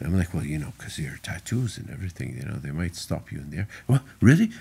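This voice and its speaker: A man with an Arabic accent speaks at a very fast pace, his pitch swinging very widely. His tone is dark and mellow, with vocal fry. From Saudi Arabia. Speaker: car rally driver. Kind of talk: casual chat.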